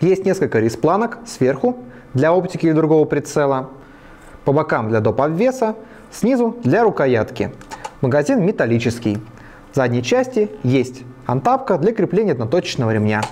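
Speaking at a moderate pace with long, frequent pauses, a man's pitch swings very widely against light background noise. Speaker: presenter. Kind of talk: product review. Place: studio. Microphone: lapel.

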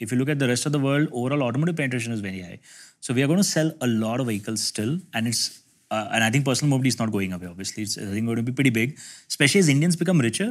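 Very fast delivery with lively intonation over a quiet background. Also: man. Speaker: guest. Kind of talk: discussion answer. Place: meeting room. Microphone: lapel.

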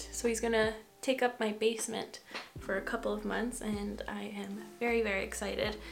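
Against light background noise, a woman talks at a moderate pace with fairly even intonation. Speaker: beauty vlogger. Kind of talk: casual makeup tutorial chat. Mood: relaxed, chatty. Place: home room.

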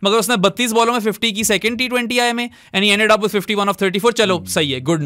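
A man's high-pitched, raised and projected voice, animated in tone and bright and sharp in sound. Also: very clean recording, silent background. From Pakistan. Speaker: cricket podcast co-host. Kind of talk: casual sports discussion.

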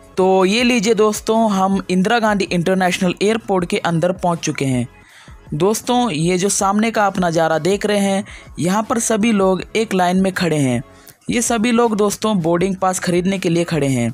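A woman at a fairly slow pace, with ordinary pitch variation and very even loudness, in a dry sound with no echo and faint music in the background. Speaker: travel vlogger. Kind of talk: casual vlog narration. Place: hall. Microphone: phone near.

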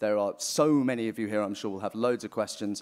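A man talks very fast, and the background is quiet. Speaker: event moderator and editor. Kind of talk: moderated panel discussion. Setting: stage with live audience. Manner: casual and jokey. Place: hall. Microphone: podium.

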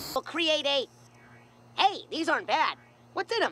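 An extremely high voice at a moderate pace. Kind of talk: comic parody acting. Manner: shrill, accusing, then distressed.

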